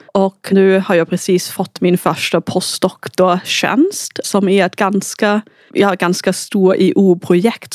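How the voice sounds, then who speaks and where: In a German accent, a woman speaks at a fairly slow pace with medium pitch and fairly even intonation. The sound is dry and close, with no echo. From Austria. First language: German (speaking Swedish). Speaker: researcher. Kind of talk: casual interview.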